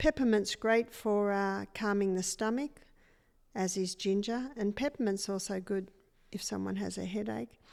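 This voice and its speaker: A woman with an Australian accent speaks at a medium pitch on a very clean recording with a silent background. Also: ordinary pitch variation, moderate pace. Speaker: natural health educator. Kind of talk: interview.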